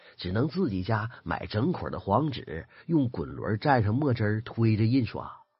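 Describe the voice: The delivery is plain reading aloud. Its intonation moves in a lively way.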